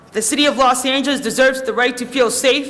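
A man's raised, projected voice at an extremely high pitch races along very fast amid noticeable background noise and audible room echo. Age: 20s. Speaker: public commenter. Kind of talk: public testimony. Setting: council chamber. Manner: halting.

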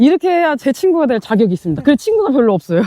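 A woman talks at a fairly quick pace in a high pitch. The sound is dry and close, with no echo. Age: 40s. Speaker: vlogger. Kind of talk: casual vlog talk while hiking. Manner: out of breath, tired.

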